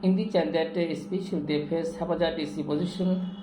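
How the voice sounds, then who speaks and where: With a Bengali accent and a high pitch, a man speaks amid noticeable background noise and audible room echo. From Bangladesh. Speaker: English teacher. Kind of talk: lecture. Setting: classroom with students. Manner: halting.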